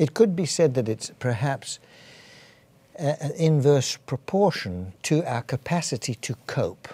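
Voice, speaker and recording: In a very clean recording with a silent background, a man with an English accent speaks at a fairly slow pace, his fairly high pitch moving with lively intonation in a dark, mellow tone that is somewhat breathy. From England. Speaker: physician. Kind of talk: interview. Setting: studio. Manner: halting.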